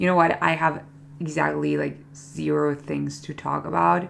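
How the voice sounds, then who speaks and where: A non-native accent colors the speech. The delivery unfolds at a fairly slow pace. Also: woman. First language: not English. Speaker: beauty vlogger. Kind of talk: casual chat. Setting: bedroom. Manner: chatty, filler-heavy.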